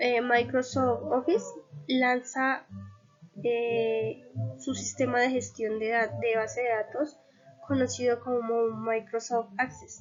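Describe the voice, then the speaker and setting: Music is playing in the background. A woman speaks at a very slow pace. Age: 20s. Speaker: university student. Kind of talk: class presentation. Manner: hesitant, frequent fillers.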